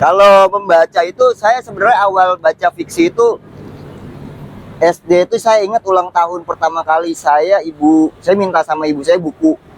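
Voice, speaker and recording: In a dry, close sound with no echo, a man speaks at a moderate pace in a high pitch with very even loudness, against noticeable background noise. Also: ordinary pitch variation. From Jakarta, Betawi. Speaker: writer. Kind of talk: casual interview chat.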